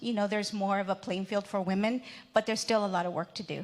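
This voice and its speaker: With a Spanish accent, a woman of medium pitch speaks in a very clean recording with a silent background. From Mexico, raised in the US from age three. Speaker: entrepreneur, panelist. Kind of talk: panel discussion.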